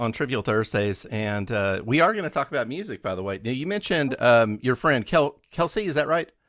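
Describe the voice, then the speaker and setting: A man with a western Kentucky accent, medium pitch and very wide pitch swings, at a fairly quick pace with hardly any pauses, in a very clean recording with a silent background. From western Kentucky (Owensboro). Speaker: radio host. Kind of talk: radio interview.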